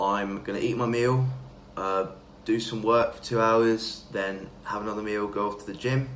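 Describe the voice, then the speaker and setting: In an English accent, a man of medium pitch speaks at a moderate pace with fairly even intonation, amid noticeable background noise and audible room echo. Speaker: fitness vlogger. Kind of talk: casual vlog talk.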